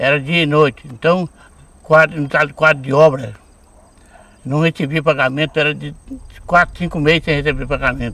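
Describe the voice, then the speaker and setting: A man's fairly high voice has a bright, sharp tone and fairly even intonation. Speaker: retired railway shunter. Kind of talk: documentary interview.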